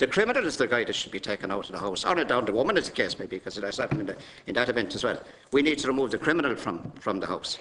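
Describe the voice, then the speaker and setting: Over noticeable background noise, a man with an Irish accent talks at a very fast pace and medium pitch, with lively intonation. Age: 50s. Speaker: politician. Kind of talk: committee testimony. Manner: halting.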